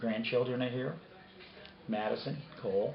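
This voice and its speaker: Amid noticeable background noise and audible room echo, a man speaks at a medium pitch and a moderate pace. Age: 60s. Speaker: interviewee. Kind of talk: interview testimony.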